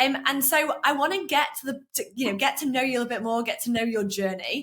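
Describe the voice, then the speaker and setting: With lively intonation and a high pitch, a woman talks at a very fast pace. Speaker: sales coach and podcast host. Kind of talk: interview host.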